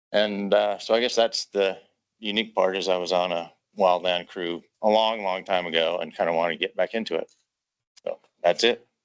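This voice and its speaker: With an American accent, a man uses an ordinary speaking voice at a fairly low pitch and moderate pace, with fairly even intonation and a dry, close sound with no echo. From Minnesota. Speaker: volunteer firefighter applicant. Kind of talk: self-introduction at meeting. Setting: meeting room with audience.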